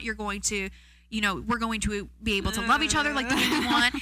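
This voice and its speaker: A woman talks at a very fast pace in an animated tone, her fairly high voice bright and sharp with vocal fry. Her pitch varies in an ordinary way. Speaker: podcast co-host. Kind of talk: casual chat.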